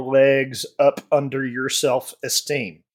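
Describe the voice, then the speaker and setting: A man in a Southern US accent at a very slow pace, on a very clean recording with a silent background. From US South, Alabama. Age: 40s. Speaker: podcast panelist. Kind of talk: casual chat.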